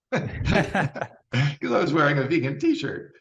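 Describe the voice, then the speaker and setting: With an American accent, a man talks in an animated tone, his fairly high pitch swinging very widely and dipping into vocal fry. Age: 60s. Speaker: vegan bodybuilder. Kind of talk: interview.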